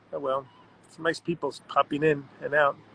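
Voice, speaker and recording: Delivered in a Long Island accent, the speech moves at a moderate pace with flat, monotone intonation. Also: man. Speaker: art world writer and personality. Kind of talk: live-stream chat reading viewer comments. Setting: Instagram live stream, guest dropped out. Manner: casual, self-deprecating.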